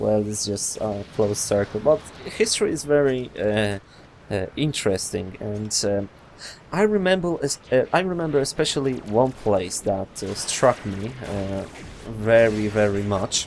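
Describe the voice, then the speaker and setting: A man with a Polish accent, fairly low in pitch, at a fairly slow pace with lively intonation. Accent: Polish accent, non-native English. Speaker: gaming youtuber. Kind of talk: interview. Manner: halting, many fillers.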